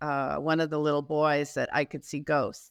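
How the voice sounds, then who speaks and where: A woman's very deep, low voice on a very clean recording with a silent background. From US Northeast, Boston area. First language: Spanish. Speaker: author and executive coach. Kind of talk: interview. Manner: halting, many fillers.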